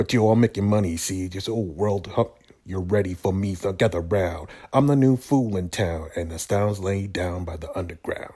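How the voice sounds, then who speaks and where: This man has a dark, mellow, somewhat breathy tone and a fairly low pitch, with ordinary pitch variation. He talks at a moderate pace on a very clean recording with a silent background. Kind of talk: radio dj patter: mock game-show intro rattling off catchphrases, then chatty sign-off.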